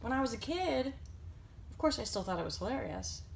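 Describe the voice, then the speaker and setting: A woman's voice amid noticeable background noise. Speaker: collector. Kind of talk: casual talk to camera.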